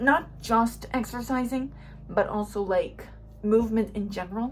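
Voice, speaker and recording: A woman mumbles at a moderate pace. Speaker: YouTuber, lifestyle vlogger. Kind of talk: casual vlog talk to camera. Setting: at home. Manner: mumbling; animated.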